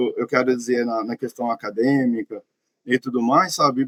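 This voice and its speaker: A man with a mineiro accent at a fairly quick pace, in a dry, close sound with no echo. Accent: mineiro accent, relatives laughed at it. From Minas Gerais, Brazil. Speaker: podcast guest. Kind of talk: personal testimony. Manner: halting, with many fillers.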